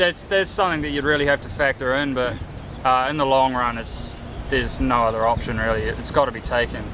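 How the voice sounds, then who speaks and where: Amid noticeable background noise, a man with a New Zealand accent and medium pitch talks at a very fast pace with ordinary pitch variation. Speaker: golf course intern. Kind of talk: interview.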